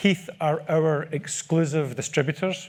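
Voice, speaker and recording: A somewhat breathy voice with a Scottish accent and fairly even intonation, on a very clean recording with a silent background. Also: man. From Scotland. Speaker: product manager. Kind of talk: conference presentation. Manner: repetitive false starts.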